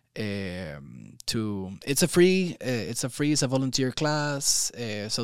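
Lively intonation with a Spanish accent on a very clean recording, silent background. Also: man. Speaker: yoga teacher trainer. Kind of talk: casual interview. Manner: hesitant, with many fillers.

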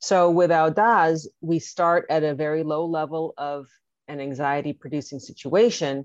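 Over a quiet background, the speaker talks with an American accent and ordinary pitch variation. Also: woman, very deep, low pitch for a woman, moderate pace. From Los Angeles, US. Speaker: healthcare marketing and advocacy expert. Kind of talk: interview.

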